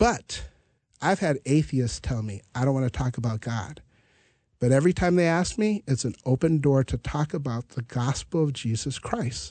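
A man talks at a medium pitch and a moderate pace, in an American accent. His intonation is lively and his voice somewhat breathy. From US Midwest (North Dakota). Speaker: pastor. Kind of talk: Bible study conversation.

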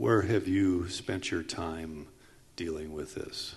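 A man is speaking. His pace is very slow. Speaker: panel moderator. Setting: conference stage with audience.

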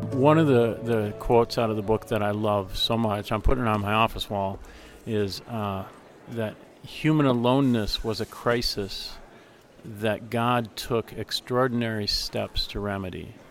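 This man uses a normal speaking voice with medium pitch. He talks at a moderate pace with fairly even intonation. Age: 50s. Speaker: interviewer. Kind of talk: interview conversation. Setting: conference interview.

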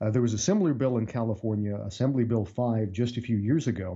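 A man's somewhat breathy voice moves at a fairly quick pace, its pitch varying in an ordinary way. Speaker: freelance writer and commentator. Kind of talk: radio interview.

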